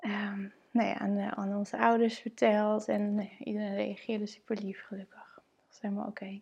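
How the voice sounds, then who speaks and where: Somewhat breathy and flat in a monotone, a woman with a medium pitch speaks at a fairly quick pace. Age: 30s. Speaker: mother and blogger. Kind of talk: personal testimony.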